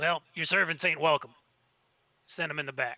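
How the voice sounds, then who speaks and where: A man puts on a loud, raspy, gruff character voice. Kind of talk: rude, blunt. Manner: loud, gruff.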